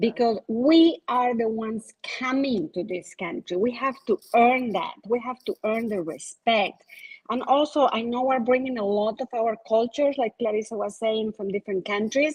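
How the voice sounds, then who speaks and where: A woman with a non-native accent speaks at a moderate pace in a fairly high voice with ordinary pitch variation, the sound dry and close with no echo. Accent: foreign accent, non-native English. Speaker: insurance agent. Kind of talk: panel discussion.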